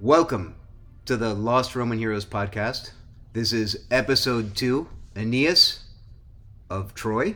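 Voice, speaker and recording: A man puts on a robotic character voice at a medium pitch and a fairly slow pace. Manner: robotic, monotone.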